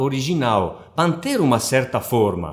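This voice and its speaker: A man with a non-native accent, at a very slow pace, with very wide pitch swings. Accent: foreign accent in Portuguese. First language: not Portuguese (speaking Portuguese). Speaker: book translator. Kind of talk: interview. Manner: hesitant, with many fillers.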